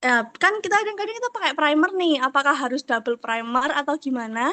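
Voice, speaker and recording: A woman projects her voice in a raised, high pitch with a bright, sharp tone, very wide pitch swings and a fairly quick pace, the sound dry and close with no echo. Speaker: makeup artist asking a question. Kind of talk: question in online class.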